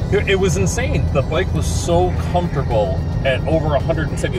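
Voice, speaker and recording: Loud music plays behind a man talking at a fairly quick pace, the sound dry with no echo. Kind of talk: casual conversation. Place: car. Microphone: phone near.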